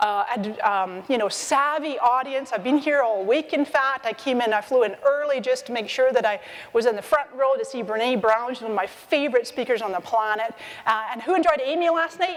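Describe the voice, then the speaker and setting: Music plays behind a woman with a high pitch. She talks at a fairly quick pace with lively intonation. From Scotland (Edinburgh), Scottish parents, born in Canada. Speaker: social media marketing expert and speaker. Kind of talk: conference talk. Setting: stage with audience. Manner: animated.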